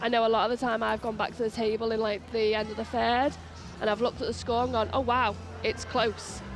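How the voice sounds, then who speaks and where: A woman speaks very fast in a fairly high, monotone voice with flat intonation. She has a slight Merseyside accent, and music plays in the background. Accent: slight Merseyside twang. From Merseyside, England. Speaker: wheelchair rugby referee. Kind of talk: live commentary interview. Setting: courtside at indoor sports arena.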